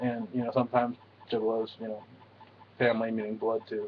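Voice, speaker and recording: Mumbling at a fairly quick pace, a man speaks at medium pitch with monotone, flat intonation. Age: 20s. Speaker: juggalo vlogger. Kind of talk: casual talk to camera.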